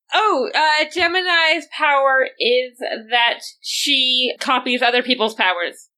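Raising and projecting her voice, a woman speaks very slowly at a high pitch with lively intonation and a bright, sharp tone. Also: very even loudness. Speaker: player in a tabletop roleplaying game. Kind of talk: casual roleplaying game chat.

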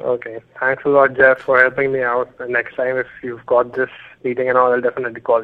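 Fairly quick speech with a monotone, flat intonation in an Indian accent. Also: man, medium pitch for a man. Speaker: caller, student. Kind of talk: call-in question. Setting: phone call.

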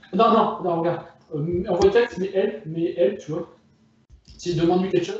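Fairly even in intonation, a man with a high pitch talks at a moderate pace. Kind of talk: casual chat. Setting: phone call from bedroom. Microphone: phone.

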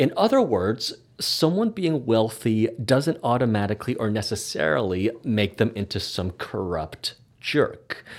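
With a Canadian accent and a plain, everyday voice, a man speaks at medium pitch and a fairly slow pace with lively intonation. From Canada. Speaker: podcast host and hypnotherapist. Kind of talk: casual chat.

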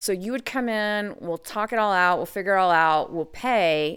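A woman with an American accent talks at a fairly quick pace, her pitch medium and her intonation lively. She has an unremarkable speaking voice, and the recording is very clean with a silent background. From US, Idaho. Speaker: legal brothel sex worker. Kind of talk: podcast interview.

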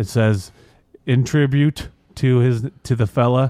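A man talks at a fairly slow pace and medium pitch, with fairly even intonation. The sound is dry and close, with no echo. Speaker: podcast co-host. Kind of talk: casual chat. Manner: doesn't enunciate.

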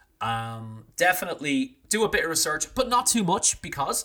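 A man talks with an Irish accent at a moderate pace. His pitch swings very widely. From Ireland, small town. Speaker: drinks industry consultant and brand owner. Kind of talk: casual interview.

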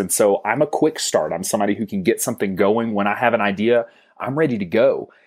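On a very clean recording with a silent background, a man with an American accent and an unremarkable speaking voice talks at medium pitch and a fairly quick pace. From US South. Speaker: financial advisory business co-founder. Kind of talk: interview.

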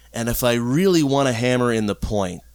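A man with an American accent and an ordinary speaking voice talks at a moderate pace and medium pitch, his intonation lively. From Florida, US. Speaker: polyamory consultant. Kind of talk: casual interview. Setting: at home in his apartment.

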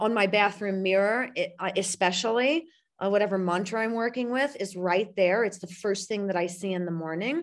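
In an American accent, an ordinary speaking voice moves at a moderate pace with hardly any pauses and ordinary pitch variation against a quiet background. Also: woman, medium pitch for a woman. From US Midwest, St. Louis, Missouri. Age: 40s. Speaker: spiritual coach and publisher. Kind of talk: casual interview chat.

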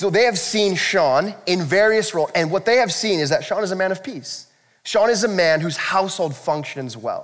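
A man with a high pitch for a man speaks with lively intonation. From US. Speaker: pastor. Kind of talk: sermon. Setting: church. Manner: fast talker.

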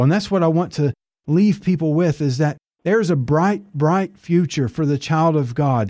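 Fairly high in pitch yet dark and mellow in tone, a man speaks at a moderate pace with ordinary pitch variation on a very clean recording with a silent background. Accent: Appalachian. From Tennessee mountains (Appalachia). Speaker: evangelist, author.

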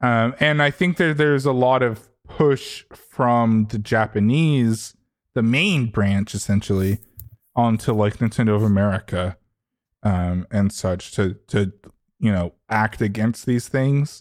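Over a silent background in a very clean recording, a man with an ordinary speaking voice and medium pitch talks at a fairly slow pace, keeping his loudness very even and his pitch variation ordinary. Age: 20s. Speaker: podcast host. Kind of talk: casual chat.

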